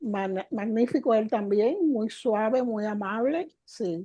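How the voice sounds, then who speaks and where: With lively intonation, a woman talks at a very slow pace against a quiet background. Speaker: spiritual teacher. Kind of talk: interview. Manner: animated.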